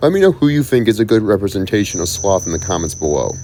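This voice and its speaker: A man's medium-pitched voice moves in very wide pitch swings against noticeable background noise. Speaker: YouTuber discussing cartoon characters. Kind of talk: unscripted video commentary. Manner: fast; halting.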